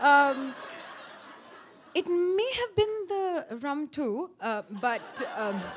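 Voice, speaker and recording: Against noticeable background noise, a woman with a high pitch and very wide pitch swings speaks at a very slow pace, leaving long, frequent pauses. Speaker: personal storyteller on stage at a storytelling event. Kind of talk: live personal story told to an audience. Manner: emotional, recounting a harrowing experience.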